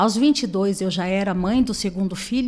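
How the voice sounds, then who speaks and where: A woman with lively intonation at a fairly quick pace, amid noticeable background noise. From Brazil, Sorocaba, interior of São Paulo. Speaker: beauty entrepreneur. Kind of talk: interview.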